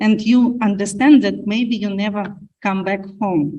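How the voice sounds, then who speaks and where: Her pitch varies in an ordinary way and her voice is somewhat breathy. This woman's tone is dark and mellow. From Ukraine. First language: Ukrainian or Russian. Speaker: panelist. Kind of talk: panel discussion. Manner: halting.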